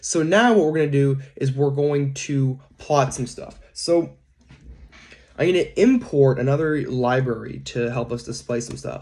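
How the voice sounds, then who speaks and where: Fairly high for a man, this voice has a dark, mellow tone and is somewhat breathy. He speaks at a fairly slow pace with ordinary pitch variation. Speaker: data science instructor. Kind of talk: recorded coding lecture. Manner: casual, hesitant with fillers.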